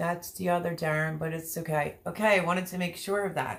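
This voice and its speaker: Noticeable background noise sits behind a woman with a fairly low pitch. She talks at a fairly quick pace with fairly even intonation. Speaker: livestreamer. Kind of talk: casual chat.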